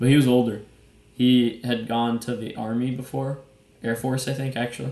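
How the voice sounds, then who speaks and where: In a dark, mellow tone, a man talks at a moderate pace and medium pitch, his intonation monotone and flat. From Brazil. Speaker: podcast co-host. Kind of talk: casual chat. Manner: casual.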